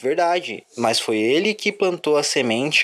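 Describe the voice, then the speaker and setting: A man talks with noticeable background noise behind his words. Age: 20s. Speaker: football fan podcaster. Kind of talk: solo sports commentary podcast. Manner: casual, with hesitations.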